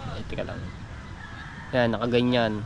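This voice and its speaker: A man's speech comes with audible room echo and noticeable background noise behind it. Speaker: vlogger. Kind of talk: casual vlog talk.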